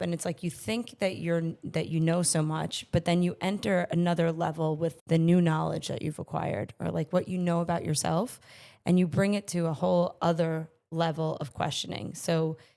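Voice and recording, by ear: A woman speaks at a moderate pace in a fairly low pitch, her dark, mellow tone raspy and touched with vocal fry, her intonation fairly even.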